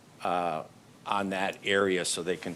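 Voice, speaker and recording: Monotone and flat, a man's very deep, low voice moves at a moderate pace. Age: 60s. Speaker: developer applicant. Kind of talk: public meeting testimony.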